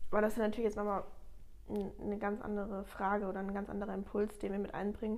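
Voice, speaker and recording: Monotone, flat intonation comes at a very fast pace, with audible room echo. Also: woman, medium pitch for a woman. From Germany, Ludwigshafen area (Palatinate). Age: 20s. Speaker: master baker. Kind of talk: casual interview.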